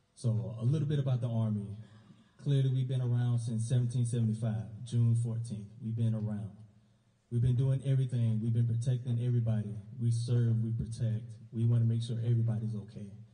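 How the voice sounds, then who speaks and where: A fairly quick, somewhat breathy man with an American accent, a dark, mellow tone, medium pitch and monotone, flat intonation, in audible room echo. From US South, South Carolina. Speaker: army recruiter. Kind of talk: award ceremony speech. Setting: school awards ceremony with audience. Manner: casual.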